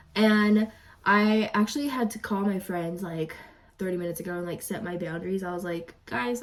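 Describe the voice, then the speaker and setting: A woman talks at a fairly quick pace with ordinary pitch variation. Noticeable background noise sits behind her. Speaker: real estate agent and vlogger. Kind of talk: casual vlog. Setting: home at night. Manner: casual, chatty.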